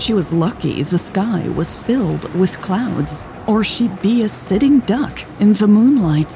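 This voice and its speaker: A woman at a medium pitch and fairly slow pace with lively intonation and hardly any pauses, against noticeable background noise. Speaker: audiobook narrator and podcast host. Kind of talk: audiobook narration.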